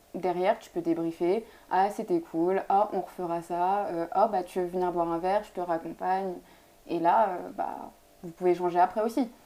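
A woman at a medium pitch with a dark, mellow tone, fairly even intonation, a moderate pace and big swings in loudness. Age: 20s. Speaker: law student. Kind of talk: casual chat.

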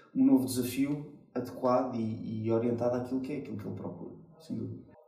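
Amid audible room echo, a man speaks very fast at a medium pitch with fairly even intonation. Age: 30s. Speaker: IT business unit director. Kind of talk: interview. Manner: halting, repeated words.

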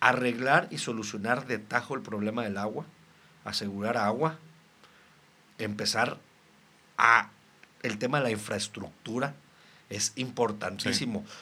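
At a medium pitch, a man speaks at a fairly slow pace with long, frequent pauses, his bright, sharp tone keeping a fairly even intonation while his loudness swings widely. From Mexico, Reynosa, Tamaulipas. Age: 30s. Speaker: local politician. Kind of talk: casual interview.

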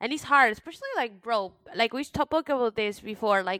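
Recorded dry and close with no echo, a woman with an American accent uses an ordinary speaking voice at a fairly quick pace with ordinary pitch variation. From United States. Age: 30s. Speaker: podcast co-host. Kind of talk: casual chat.

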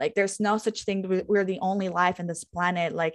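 The woman's pitch is medium and she talks at a fairly quick pace. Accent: Spanish. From Guatemala. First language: Spanish. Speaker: podcast host and holistic interior designer. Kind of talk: casual chat.

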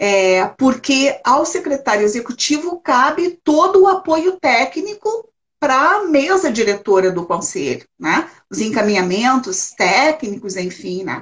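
Pitch swings very widely as a woman with a high voice moves at a fairly slow pace with hardly any pauses. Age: 60s. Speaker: retired social worker, elder-rights council president. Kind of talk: interview conversation.

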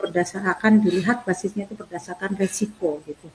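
A woman's fairly low voice keeps fairly even intonation amid noticeable background noise. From Central Java (Tegal). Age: 50s. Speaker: local legislator. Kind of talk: expert interview on a talk show.

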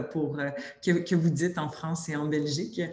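A woman speaks with a Quebec accent at a moderate pace. Her intonation stays fairly even, and room echo is audible. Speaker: sector workforce committee director. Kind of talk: webinar presentation. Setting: video webinar.

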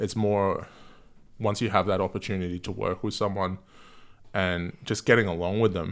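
At a moderate pace with long, frequent pauses, a man with an Australian accent talks in a fairly low, flat monotone on a very clean recording with a silent background. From Gold Coast, Queensland, Australia. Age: 30s. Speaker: music photographer. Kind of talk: casual chat. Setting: at home.

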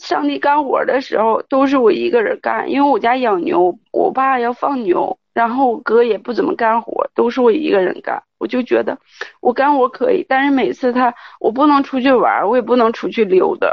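Pitch swings very widely throughout this moderately paced delivery. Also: woman, high pitch for a woman. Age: 30s. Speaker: caller. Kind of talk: call-in confession. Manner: halting.

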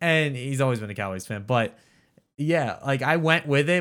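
On a very clean recording with a silent background, a man with an ordinary speaking voice talks at a moderate pace, his pitch fairly high with ordinary variation. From Philadelphia. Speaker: podcast co-host. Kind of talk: casual chat.

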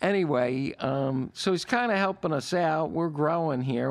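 With lively intonation and a moderate pace, a man talks amid noticeable background noise. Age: 60s. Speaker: podcast co-host. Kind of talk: casual chat.

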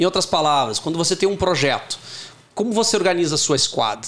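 Noticeable background noise runs under this recording. A man speaks at a fairly quick pace with ordinary pitch variation. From Porto Alegre, southern Brazil. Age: 40s. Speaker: tech company CEO. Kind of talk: interview.

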